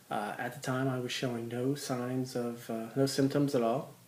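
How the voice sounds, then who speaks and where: A man's medium-pitched, monotone voice at a fairly slow pace, flat in intonation, with audible room echo. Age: 40s. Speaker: person living with type 2 diabetes, runner. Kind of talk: personal testimony. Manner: hesitant, many fillers.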